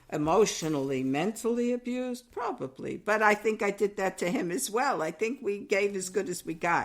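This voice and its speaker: A woman with a New York accent and lively intonation, on a very clean recording with a silent background. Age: 70s. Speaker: podcast co-host, mother. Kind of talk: casual chat.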